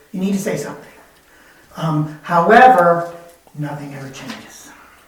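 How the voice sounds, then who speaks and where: Lively intonation marks this man's speech, heard through noticeable background noise and audible room echo. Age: 70s. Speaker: resident addressing city council. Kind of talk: public comment at council meeting. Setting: council chambers. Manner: halting.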